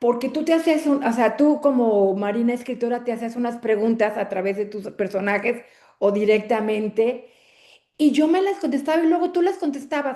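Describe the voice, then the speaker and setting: A woman with a high-pitched voice speaks with lively intonation. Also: moderate pace. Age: 60s. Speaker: book club member. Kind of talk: casual chat. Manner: halting.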